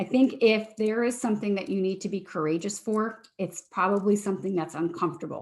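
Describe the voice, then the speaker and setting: Her pitch medium, a woman speaks with ordinary pitch variation. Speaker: leadership coach. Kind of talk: webinar talk. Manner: fast.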